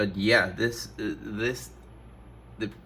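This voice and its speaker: His tone comes across bright and sharp. The man's pace is very slow. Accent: non-native. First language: not English. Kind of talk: casual talk to camera.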